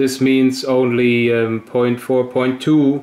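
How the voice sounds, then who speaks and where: In a German accent, a man speaks at medium pitch with monotone, flat intonation. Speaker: hobbyist experimenter, video maker. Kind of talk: tutorial. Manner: halting.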